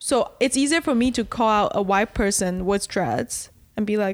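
On a very clean recording with a silent background, a woman uses an ordinary speaking voice at a fairly slow pace with lively intonation. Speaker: podcast co-host. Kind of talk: casual chat.

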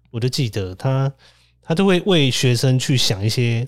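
With lively intonation, a man talks in a somewhat breathy way. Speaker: podcast host, social worker. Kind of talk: casual chat. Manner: animated, frequent laughter.

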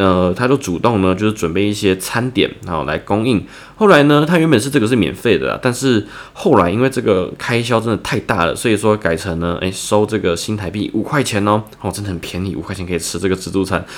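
A man talks at a very fast pace with lively intonation. His pitch sits fairly low. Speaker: writing tutor for students. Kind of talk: tutorial. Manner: casual, with many filler words.

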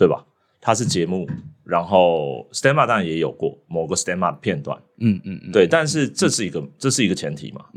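A man speaks at a moderate pace in a very deep, low voice, his pitch swinging very widely and his loudness rising and falling sharply. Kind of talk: casual chat.

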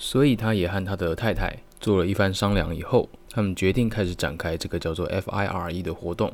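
This man has a Taiwanese accent and a very deep, low pitch with ordinary pitch variation. He hardly pauses, and the recording is very clean with a silent background. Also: fairly quick pace. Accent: Taiwanese Mandarin. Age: 20s. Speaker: multimedia designer and podcaster. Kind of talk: solo podcast monologue.

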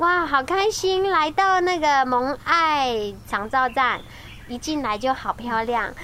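Projecting her voice, a woman speaks very slowly at a high pitch, with lively intonation and a bright, sharp tone. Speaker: radio host. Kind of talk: casual interview. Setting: on location at a community care station.

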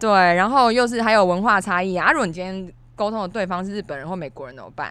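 A woman speaks at a very fast pace with a bright, sharp tone and medium pitch. Her intonation is lively, and her loudness swings widely. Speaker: podcast co-host. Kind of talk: casual chat. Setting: studio.

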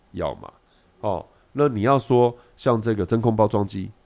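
On a very clean recording with a silent background, a man talks. His pitch is medium, with ordinary variation. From Taiwan. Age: middle-aged. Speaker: food writer and nutritionist. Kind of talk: casual chat. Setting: studio with a kitchen.

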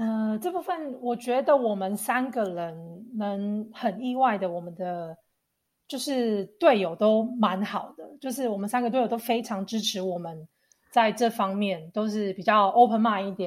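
Recorded very cleanly against a silent background, a woman speaks at a fairly slow pace in a fairly high pitch, with ordinary pitch variation and big swings in loudness. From Taiwan. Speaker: YouTuber. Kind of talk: casual chat.

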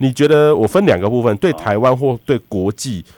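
Recorded very cleanly with a silent background and a dry, close sound free of echo, a man with a plain, everyday voice talks at a moderate pace with lively intonation. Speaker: radio host, weather expert. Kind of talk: radio interview.

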